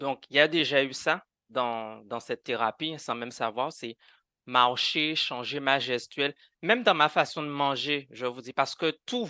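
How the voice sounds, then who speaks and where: This man has a bright, sharp tone and ordinary pitch variation, speaking at a fairly slow pace. The sound is dry and close with no echo, against a quiet background. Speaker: guest sharing conversion therapy experience. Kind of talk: podcast interview testimony. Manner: animated, with repetitions and hesitations.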